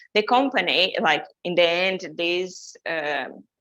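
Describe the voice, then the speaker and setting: A woman speaks at a fairly low pitch. Her pitch variation is ordinary. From Brazil. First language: Portuguese. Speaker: journalist and digital content specialist. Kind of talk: webinar presentation. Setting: online webinar. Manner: hesitant, many fillers and restarts.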